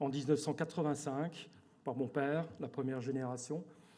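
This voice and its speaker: A man with an Alsatian accent, fairly high pitch and a dark, mellow tone speaks with fairly even intonation amid audible room echo. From Alsace, France. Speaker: company director. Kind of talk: corporate presentation. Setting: stage with audience at awards evening. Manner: hesitant, many fillers and repetitions.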